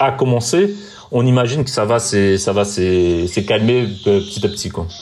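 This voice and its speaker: There is noticeable background noise as a man speaks with a Portuguese accent. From Brazil. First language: Portuguese (speaking French). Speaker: TV journalist. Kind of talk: interview. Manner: halting, with repetitions.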